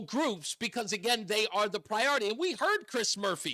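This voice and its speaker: In a raised, projected voice, a man with an American accent speaks at a high pitch with a bright, sharp tone and lively intonation. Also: very clean recording, silent background. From New York City (Queens). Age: 50s. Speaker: radio talk show host. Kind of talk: talk radio.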